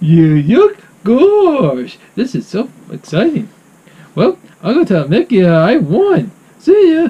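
The put-on character voice sits fairly high in pitch, moving at a very slow pace with long, frequent pauses. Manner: goofy, excitable.

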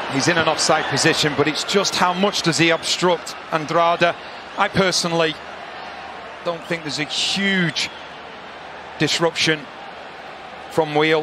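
A man's high-pitched voice at a fairly slow pace, with long, frequent pauses and noticeable background noise. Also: dry sound with no echo. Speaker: football color commentator. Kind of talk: live football color analysis. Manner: excitable bursts of praise after goals; opinionated, explanatory analyst.

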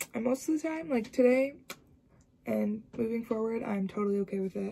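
The woman's voice has a dark, mellow tone and ordinary pitch variation. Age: 20s. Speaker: university student. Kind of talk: casual vlog talk to camera. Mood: reflective, candid. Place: home room. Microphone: phone near.

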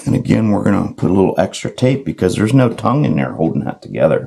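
A put-on character voice, hoarse and raspy, races along at a very fast pace. Its pitch swings very widely. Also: man, fairly low pitch for a man. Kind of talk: tutorial.

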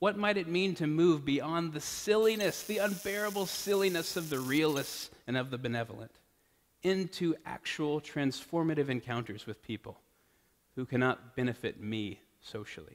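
A man with an American accent talks at a moderate pace, his fairly high voice making very wide pitch swings. The background is quiet. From Texas (Austin); Texas. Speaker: priest; preacher. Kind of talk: sermon. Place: church. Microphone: podium.

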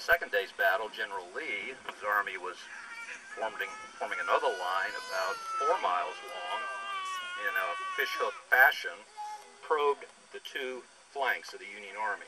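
Clear music plays in the background as the speaker keeps a moderate pace with long, frequent pauses. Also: man. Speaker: presenter. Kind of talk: lecture. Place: open country.

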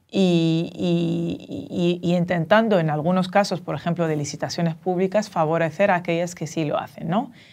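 A woman with an unremarkable speaking voice, fairly low in pitch, talks at a moderate pace with fairly even intonation and hardly any pauses. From Dominican Republic and Tunisia. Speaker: professor of social entrepreneurship; guest. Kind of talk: interview. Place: studio.

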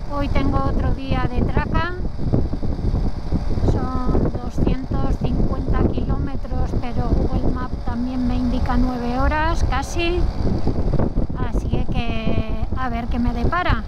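A woman speaks at a very slow pace with long, frequent pauses. The sound is dry with no echo, though the background noise is loud. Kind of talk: casual vlog chat. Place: motorbike.

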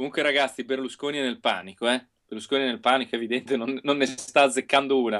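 Speaking at a very fast pace, the man keeps his intonation fairly even. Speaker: local politician; guest. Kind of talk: casual chat. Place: home room. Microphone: unstable connection; earbuds.

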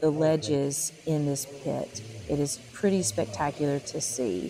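Music plays in the background as a woman with a very deep, low pitch talks at a fairly slow pace with lively intonation, the sound dry with no echo. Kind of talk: explanatory commentary. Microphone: phone near.

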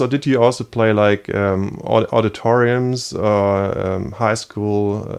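A man speaks with a German accent. The background is quiet. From East Germany. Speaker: podcast host; show host interviewer. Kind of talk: interview. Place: home room.

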